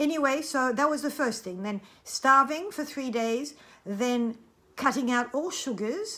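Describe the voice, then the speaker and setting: A woman's raised, projected voice, bright and sharp in tone and high in pitch, moves at a fairly slow pace with lively intonation on a very clean recording with a silent background. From France. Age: 60s. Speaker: cancer survivor sharing experience. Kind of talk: personal testimony. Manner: animated, talkative.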